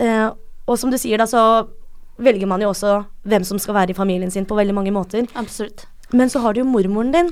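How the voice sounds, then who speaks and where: This woman has an ordinary speaking voice at a fairly high pitch. She talks at a fairly quick pace with ordinary pitch variation. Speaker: podcast host. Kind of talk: casual chat; scripted narration.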